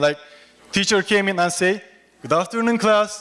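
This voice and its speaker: A man with a Turkish accent speaks in a high voice with ordinary pitch variation. There is noticeable background noise. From Turkey. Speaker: international graduate student. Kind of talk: humorous speech to an audience.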